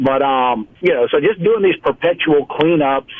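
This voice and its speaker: A man's fairly high voice with a Louisiana accent, ordinary pitch variation and a moderate pace. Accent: Southern US (Louisiana). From South Louisiana. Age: 50s. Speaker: environmental business founder. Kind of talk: radio interview.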